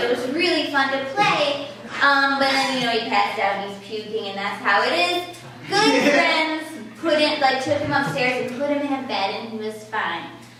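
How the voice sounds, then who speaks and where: A raised, projected voice carries lively intonation at a moderate pace over noticeable background noise. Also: woman, high pitch for a woman. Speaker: comedian, story slam storyteller. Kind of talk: live storytelling at a story slam, comedic. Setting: live show recorded in front of an audience.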